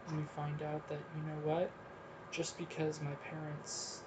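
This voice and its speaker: Against noticeable background noise, a man speaks with a fairly high pitch. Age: 30s. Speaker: podcast host. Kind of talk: solo monologue. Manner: frequent filler ums.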